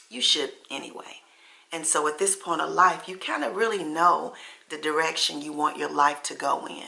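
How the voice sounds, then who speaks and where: Lively intonation marks a plain, everyday voice moving at a moderate pace. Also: woman. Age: 60s. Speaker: lifestyle vlogger. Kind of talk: casual chat. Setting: at home.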